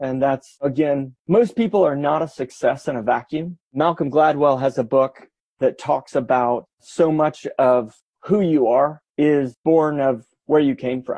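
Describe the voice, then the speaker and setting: With an American accent, a man speaks fairly slowly in a plain, everyday voice, pitched fairly high with ordinary variation. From US Midwest, Kansas City. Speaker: entrepreneur. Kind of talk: interview.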